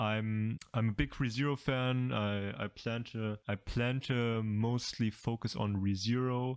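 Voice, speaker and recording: At a fairly slow pace, a man speaks at a medium pitch with very even loudness, fairly even intonation and hardly any pauses. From Germany. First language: German. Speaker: anime YouTuber. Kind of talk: casual commentary video. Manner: halting, many fillers and repeats.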